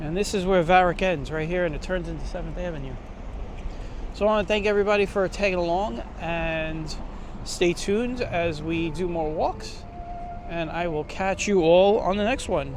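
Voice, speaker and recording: The speaker has an American accent and talks at a moderate pace with fairly even intonation. Noticeable background noise and audible room echo fill the recording. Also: man, high pitch for a man. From New York City, Brooklyn. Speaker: walking tour vlogger. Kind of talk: walking tour commentary. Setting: outdoors, city streets. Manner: casual, conversational.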